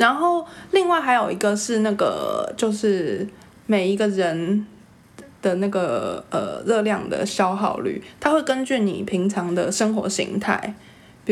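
This woman has an unremarkable speaking voice and a fairly slow pace. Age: 30s. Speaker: podcast co-host. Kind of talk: casual chat.

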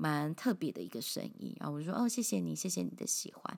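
A woman talks at a moderate pace. The recording is very clean, and the background is silent. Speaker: podcast host. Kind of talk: casual monologue.

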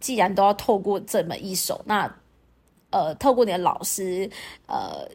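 A woman's medium-pitched voice moves at a moderate pace with ordinary pitch variation, captured in a very clean recording against a silent background. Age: 40s. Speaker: podcast host and fitness and dance instructor. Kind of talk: casual monologue.

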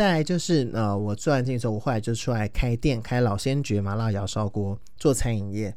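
Lively intonation at a moderate pace. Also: man. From Taiwan, Taoyuan. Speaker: podcast host. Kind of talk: casual monologue. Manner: halting, many fillers.

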